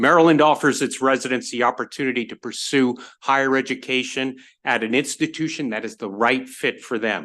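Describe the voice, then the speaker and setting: A loud man with a bright, sharp tone, medium pitch and ordinary pitch variation, at a moderate pace over a quiet background. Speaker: university representative. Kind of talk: testimony. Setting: legislative committee hearing.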